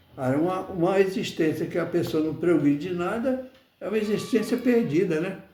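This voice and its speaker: A man's high-pitched voice, dark and mellow in tone, with lively intonation, a moderate pace and audible room echo. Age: 80s+. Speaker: spiritist study lecturer. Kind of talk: religious study talk. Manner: halting, with many repetitions.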